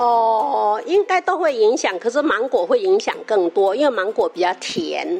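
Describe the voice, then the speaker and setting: A woman's high-pitched voice at a fairly slow pace, with very wide pitch swings, very even loudness, hardly any pauses, and noticeable background noise. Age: 60s. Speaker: retired teacher attending senior class. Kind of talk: interview. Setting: community health center.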